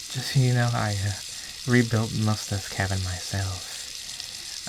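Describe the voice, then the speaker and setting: Against noticeable background noise, a man with a fairly low pitch and a gentle tone talks at a fairly slow pace with ordinary pitch variation. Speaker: ASMR creator / roleplay performer. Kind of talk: ASMR roleplay, caring caretaker talking to the listener. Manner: soft-spoken, slow, gentle.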